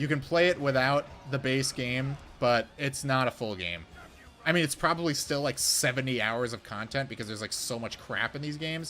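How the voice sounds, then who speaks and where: A medium-pitched male voice over music in the background. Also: ordinary pitch variation, fairly quick pace. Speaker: gaming streamer. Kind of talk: gameplay commentary.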